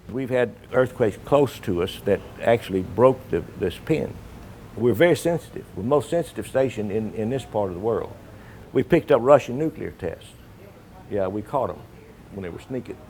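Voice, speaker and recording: In a dark, mellow tone, a man at a medium pitch speaks with big swings in loudness. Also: lively intonation, moderate pace. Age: 70s. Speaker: restaurant owner. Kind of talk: documentary interview. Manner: halting.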